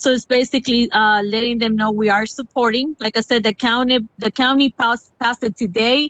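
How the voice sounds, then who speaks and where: A woman talks at a fairly quick pace, her high pitch carried in fairly even intonation. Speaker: city council member. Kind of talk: council meeting discussion. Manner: halting, many fillers.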